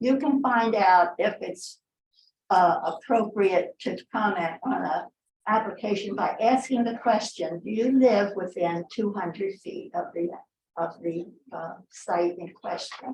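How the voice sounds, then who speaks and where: A somewhat breathy woman speaks at a fairly slow pace with lively intonation and big swings in loudness. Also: medium pitch for a woman. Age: 80s+. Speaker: member of the public commenting. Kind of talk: public comment at meeting. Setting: public meeting.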